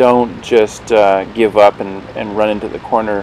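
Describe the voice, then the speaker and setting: A man's voice over noticeable background noise. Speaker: gaming video commentator. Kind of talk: gameplay commentary. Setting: mic too close, poor audio. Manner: casual, hesitant with fillers.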